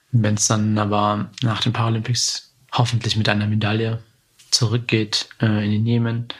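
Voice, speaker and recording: A man speaks at a fairly slow pace with a fairly low pitch. His intonation is monotone and flat. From Germany, Marburg area (came from Yemen aged five). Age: 20s. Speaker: Paralympic judoka and psychology student. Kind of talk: interview conversation. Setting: at home in his apartment. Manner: hesitant with many fillers.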